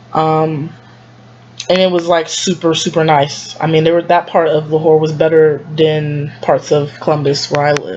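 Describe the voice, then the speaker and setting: A woman speaks with a very deep, low pitch and monotone, flat intonation. Noticeable background noise runs underneath. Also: very even loudness. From United States. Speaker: travel vlogger. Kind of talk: casual vlog monologue. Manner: fast; hesitant, many fillers.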